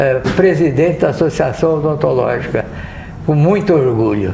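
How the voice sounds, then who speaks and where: The speech shows ordinary pitch variation, with audible room echo and noticeable background noise. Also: man. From Brazil, São José do Rio Preto (São Paulo interior). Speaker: dentist, former association president. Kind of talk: podcast interview, reminiscing. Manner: halting, with hesitations.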